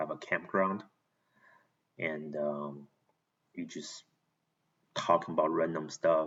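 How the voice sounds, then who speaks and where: A man talks at a fairly slow pace, with long, frequent pauses. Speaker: vlogger. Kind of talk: casual monologue to camera. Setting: talking to camera alone. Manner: halting.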